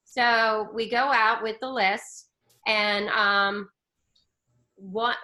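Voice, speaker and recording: A loud voice with an animated tone. The tone is bright and sharp. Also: woman. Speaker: spiritual coach. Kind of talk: casual chat.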